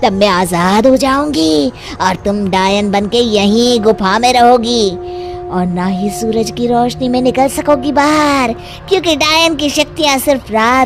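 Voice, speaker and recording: A female-sounding cartoonish character voice, fairly high in pitch, moves at a fairly slow pace. Clear music plays in the background. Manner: cackling, gloating.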